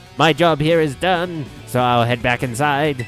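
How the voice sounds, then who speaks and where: Over clear music in the background, a man uses a put-on character voice at a fairly high pitch and a moderate pace. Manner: cackling, villainous.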